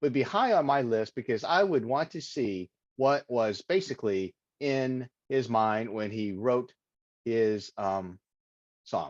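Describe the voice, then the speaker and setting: A man's medium-pitched voice in a Texas accent, very slow with long, frequent pauses, dry and close with no echo, over a quiet background. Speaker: Toastmasters presenter. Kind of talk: impromptu practice speech. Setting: video call. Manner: halting, with filler words.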